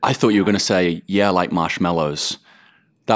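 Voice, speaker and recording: His voice very deep and low, a man talks at a fairly quick pace with fairly even intonation. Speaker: actor. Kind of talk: interview.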